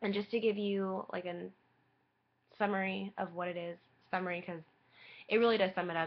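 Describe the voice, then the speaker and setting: Here is a woman with a plain, everyday voice at a medium pitch. She talks at a fairly quick pace with fairly even intonation. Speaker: vlogger sharing personal health story. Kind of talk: personal webcam vlog.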